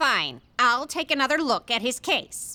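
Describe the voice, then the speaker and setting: The speaker uses a put-on character voice with ordinary pitch variation at a moderate pace. The recording is very clean, with a silent background. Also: woman. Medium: fan dub. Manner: crisp, stern.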